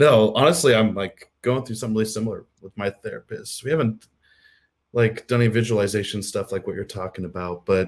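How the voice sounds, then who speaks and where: A man speaks with an American accent at a fairly quick pace, in a normal speaking voice with medium pitch. His loudness swings widely while his pitch varies in an ordinary way. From US Midwest, Missouri. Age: 30s. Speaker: podcast host. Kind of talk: casual chat.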